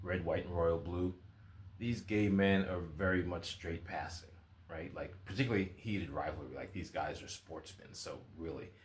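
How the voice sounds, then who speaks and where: Somewhat breathy speech at a moderate pace carries fairly even intonation and audible room echo. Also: man, very deep, low pitch for a man. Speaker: writer and video blogger. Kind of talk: casual vlog monologue.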